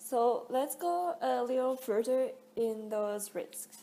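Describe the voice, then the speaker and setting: This woman's voice sits fairly high, with ordinary pitch variation. She talks at a very slow pace. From France. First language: French. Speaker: student. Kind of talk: class presentation.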